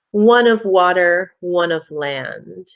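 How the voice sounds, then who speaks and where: A woman's put-on character voice at medium pitch, with hissing. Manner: menacing, sibilant.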